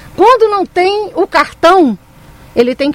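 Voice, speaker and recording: Very wide pitch swings from a woman, noticeable background noise all around. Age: 50s. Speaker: mayoral candidate, teacher and union activist. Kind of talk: radio interview. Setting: radio studio.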